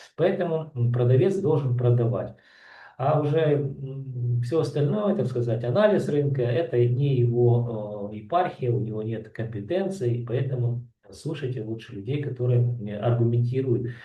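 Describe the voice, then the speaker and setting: At a fairly slow pace, a man speaks in a somewhat breathy voice. His pitch is medium, with ordinary variation. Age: 60s. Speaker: real estate analyst. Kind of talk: market analysis commentary. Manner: halting, many filler sounds.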